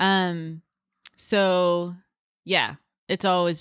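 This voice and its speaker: In a very clean recording with a silent background and a dry, close sound with no echo, a woman with a Canadian accent talks at a very slow pace with fairly even intonation. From Canada, northwestern Ontario (rural, near Fort Frances). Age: 30s. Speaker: bear attack survivor, outdoor field worker. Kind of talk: interview testimony.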